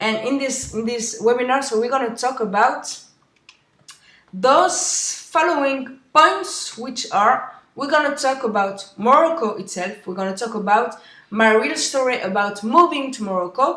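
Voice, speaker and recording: In a room with audible echo, a woman with a French accent speaks at a fairly slow pace, her high pitch carried by lively intonation. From France. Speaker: webinar host. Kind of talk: webinar presentation. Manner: halting.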